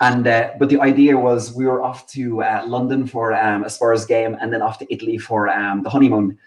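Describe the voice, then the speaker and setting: With a Cork accent, a man speaks at a medium pitch in a flat monotone, hardly pausing at all. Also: fairly quick pace. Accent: Cork Irish. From Ireland, Inniscarra, Co. Cork. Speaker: Irish emigrant guest. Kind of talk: casual interview chat.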